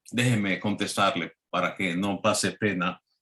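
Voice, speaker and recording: Very slowly, a man speaks. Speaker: preacher. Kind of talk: sermon.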